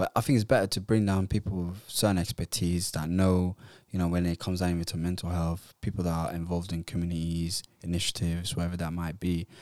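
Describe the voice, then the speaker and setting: At a very fast pace and with fairly even intonation, the speech comes through in a very clean recording against a silent background. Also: man, very deep, low pitch for a man, hardly any pauses. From Netherlands (Somali heritage). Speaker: podcast co-host. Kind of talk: casual chat.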